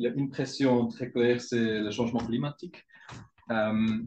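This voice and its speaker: A man with a non-native accent speaks at a medium pitch and a moderate pace. His intonation is fairly even, with music in the background. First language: not French (speaking French). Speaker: research group leader. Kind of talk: conference presentation. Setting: scientific council meeting. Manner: halting, many hesitations.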